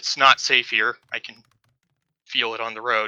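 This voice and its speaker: This is a put-on character voice. Its pitch is low. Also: moderate pace. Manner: timid, nervous.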